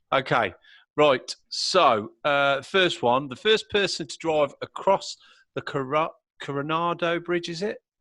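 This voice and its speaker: In a British accent, a man with a fairly high pitch and ordinary pitch variation speaks at a fairly slow pace with big swings in loudness, on a very clean recording with a silent background and a dry, close sound with no echo. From UK. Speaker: podcast host. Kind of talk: casual interview chat. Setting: home studio.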